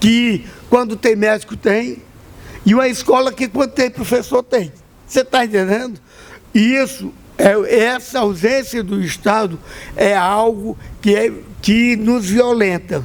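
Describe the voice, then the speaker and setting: Over noticeable background noise, a man with a high pitch and ordinary pitch variation talks at a fairly slow pace with long, frequent pauses. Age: 60s. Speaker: Afro-Brazilian religious leader. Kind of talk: panel talk. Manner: impassioned.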